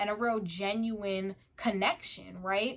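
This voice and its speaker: Over a very clean recording with a silent background, a woman speaks at a medium pitch in an animated tone. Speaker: YouTuber. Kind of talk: casual monologue to camera.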